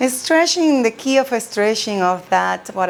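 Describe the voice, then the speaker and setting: Over noticeable background noise, a woman speaks in a calm, soothing tone. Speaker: chair yoga instructor. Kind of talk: guided chair yoga class. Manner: calm, slow, soothing.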